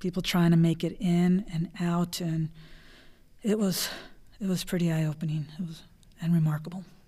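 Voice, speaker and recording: With an American accent, a woman speaks in a dark, mellow, somewhat breathy voice at a fairly low pitch and a moderate pace, leaving long, frequent pauses on a very clean recording with a silent background. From South Texas, western Hidalgo County (La Jolla). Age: 40s. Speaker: county treasurer. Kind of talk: interview.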